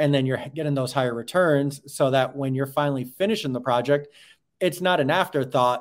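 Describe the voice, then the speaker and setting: A man with an American accent talks very fast at a medium pitch. The recording is very clean, with a silent background. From New York. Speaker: real estate account executive. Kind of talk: interview.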